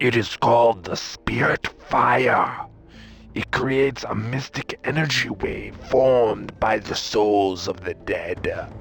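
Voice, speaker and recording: In a put-on character voice, this man talks rather slowly at a medium pitch. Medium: video game. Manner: solemn, measured.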